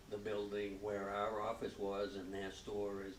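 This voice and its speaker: Fairly low in pitch, a man speaks at a fairly slow pace, with audible room echo. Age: 80s+. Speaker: local business owner. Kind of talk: public interview before audience. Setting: library event with audience.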